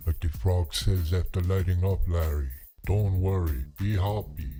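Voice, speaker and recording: Man in a put-on character voice, very deep and low in pitch, with very even loudness. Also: moderate pace. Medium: comedy sketch. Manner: drawling, laid-back, says "man".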